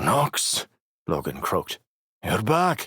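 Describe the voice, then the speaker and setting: A man does a put-on character voice that is raspy and hoarse, with a dry, close sound and no echo. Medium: read story.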